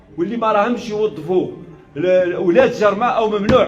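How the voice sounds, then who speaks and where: The voice has an angry tone, a moderate pace and ordinary pitch variation. Noticeable background noise runs underneath. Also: man. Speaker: provincial governor. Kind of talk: official public response. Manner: forceful, angry.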